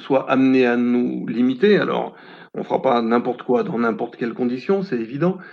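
The man speaks with ordinary pitch variation. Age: 60s. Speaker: retiree. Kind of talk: testimony. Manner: halting.

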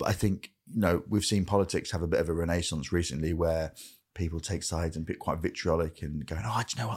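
Very fast and marked by vocal fry, a man's very deep, low voice comes through on a very clean recording with a silent background. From northern England, Grimsby. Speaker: comedian. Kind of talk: casual chat.

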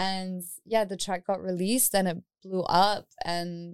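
Captured on a very clean recording with a silent background, a woman with a New Zealand accent speaks at a medium pitch. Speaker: DJ and music artist. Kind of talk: interview.

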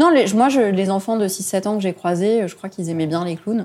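A woman at a medium pitch and a fairly quick pace, in a normal speaking voice. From Lebanon. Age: 20s. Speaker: charity founder. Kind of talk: interview.

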